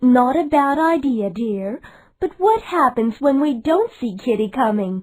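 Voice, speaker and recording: A female-sounding, put-on character voice is heard. It is high-pitched and fairly slow. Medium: read story.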